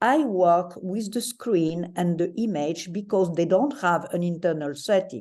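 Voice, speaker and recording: In a French accent, the speaker uses a dark, mellow tone and lively intonation at a fairly slow pace with hardly any pauses. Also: woman, medium pitch for a woman, quiet background. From France. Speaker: psychoanalyst, panelist. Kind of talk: lecture. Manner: formal.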